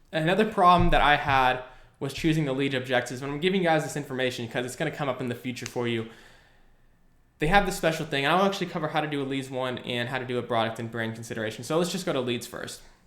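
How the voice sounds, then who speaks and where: A man's fairly high voice at a very fast pace, with ordinary pitch variation and audible room echo. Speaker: online marketing educator; online ads instructor. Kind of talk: screen-recorded tutorial. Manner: casual, filler words. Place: home room.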